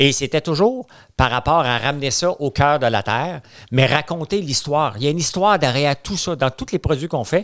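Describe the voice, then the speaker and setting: Against a quiet background, a man speaks at a fairly quick pace with a Quebec accent. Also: fairly high pitch for a man, ordinary pitch variation. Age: 50s. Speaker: entrepreneur; podcast guest. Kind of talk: casual chat. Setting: studio. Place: studio. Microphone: studio mic.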